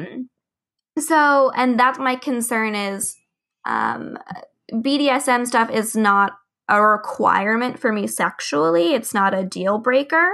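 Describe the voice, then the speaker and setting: Her fairly high voice has a bright, sharp tone and lively intonation as the woman speaks at a very slow pace. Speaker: podcast co-host. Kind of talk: interview.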